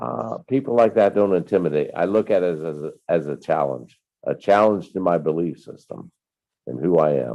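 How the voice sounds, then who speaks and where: Speaking at a moderate pace, a man uses a very deep, low pitch with vocal fry and lively intonation. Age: 60s. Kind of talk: casual chat. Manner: animated.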